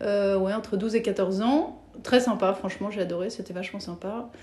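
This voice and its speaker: A woman's medium-pitched voice, fairly even in intonation, comes through noticeable background noise. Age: 40s. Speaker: former banker turned entrepreneur. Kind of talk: interview. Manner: hesitant, many fillers.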